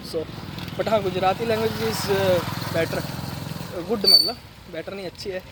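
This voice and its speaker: With a Punjabi accent, a man talks at a high pitch with ordinary pitch variation over noticeable background noise. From Punjab, India. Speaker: vlogger. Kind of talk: casual vlog. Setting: outdoors, riding on the road. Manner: conversational, with fillers and Hindi-English mixing.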